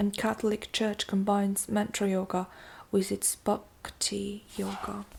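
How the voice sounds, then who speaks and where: A woman speaks at a fairly slow pace in a somewhat breathy voice. Her intonation stays monotone and flat. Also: medium pitch for a woman. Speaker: amateur audiobook narrator. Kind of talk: audiobook reading of nonfiction.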